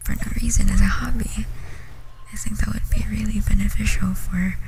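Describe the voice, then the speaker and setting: Someone whispers at a moderate pace over noticeable background noise. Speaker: digital artist. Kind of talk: soft-spoken ASMR talk over gameplay. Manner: soft-spoken.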